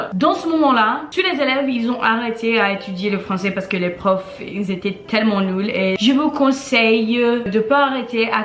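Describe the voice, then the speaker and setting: A woman with a Portuguese accent speaks at a moderate pace in a fairly high pitch with ordinary pitch variation, with audible room echo and noticeable background noise. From Brazil, then Connecticut, US from age five. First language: Portuguese (speaking French). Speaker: language blogger. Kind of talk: casual vlog storytelling.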